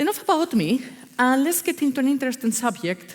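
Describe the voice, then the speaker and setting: A woman speaks in a Spanish accent. Her voice carries vocal fry. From Spain, Basque Country. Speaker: agile consultant. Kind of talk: conference talk. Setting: stage with audience. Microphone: echo, hears herself twice.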